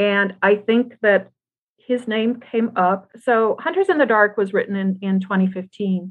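A woman with an ordinary speaking voice talks at a fairly slow pace and medium pitch, with ordinary pitch variation and very even loudness. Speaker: former rock musician and author. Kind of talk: casual interview.

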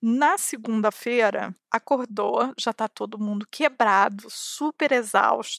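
Speaking with a Carioca accent at a fairly slow pace, a woman has a fairly high pitch. The sound is dry and close with no echo, on a very clean recording with a silent background. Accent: carioca (Rio) accent, noticeable. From Brazil, Rio de Janeiro. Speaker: podcast host, newsletter writer. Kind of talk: casual monologue answering listener questions.

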